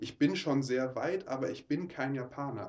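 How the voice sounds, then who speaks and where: This man talks at a moderate pace, his medium pitch showing ordinary variation. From Ruhr area, Oberhausen. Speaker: mission trip leader. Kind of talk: interview. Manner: halting.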